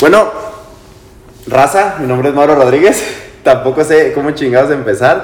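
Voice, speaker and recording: Lively intonation from a man with fairly high pitch, a moderate pace, long, frequent pauses, and noticeable background noise. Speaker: podcast co-host. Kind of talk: casual chat among friends.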